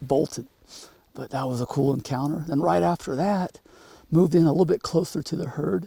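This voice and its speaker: A man talks at a moderate pace with ordinary pitch variation and a dark, mellow tone. The sound is dry and close, with no echo. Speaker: hunting guide and show host. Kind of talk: outdoor hunting commentary. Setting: outdoors.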